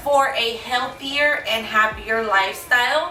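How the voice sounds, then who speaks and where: A woman talks at a fairly slow pace in a raised, projected voice with lively intonation. Music plays behind her, and there is audible room echo. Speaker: lifestyle vlogger. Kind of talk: casual vlog talk to camera.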